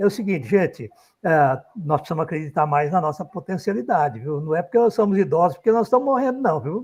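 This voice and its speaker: A man's high-pitched voice at a very fast pace, with very wide pitch swings, against a quiet background. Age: 70s. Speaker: statistics professor. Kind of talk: closing remarks in a panel discussion.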